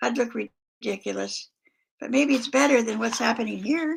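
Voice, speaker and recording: On a very clean recording with a silent background, a woman uses a raspy, put-on character voice at a fairly high pitch and a moderate pace. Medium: read story.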